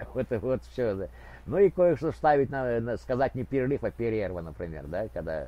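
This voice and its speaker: A man talks at a moderate pace with very wide pitch swings. The sound is dry, with no echo. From Ukraine, Kharkiv; Ukraine. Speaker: video blogger. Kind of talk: prank chat roulette conversation. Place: home room. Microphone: video call.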